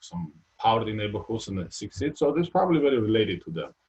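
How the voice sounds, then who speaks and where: A man talks very fast, his pitch swinging very widely up and down. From Georgia (former Soviet Union). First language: Georgian or Russian. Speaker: retired basketball player. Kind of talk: interview. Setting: live video stream. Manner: halting, many fillers.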